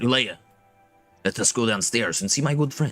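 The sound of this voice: In a put-on character voice, a man speaks at a moderate pace and medium pitch while faint music plays in the background.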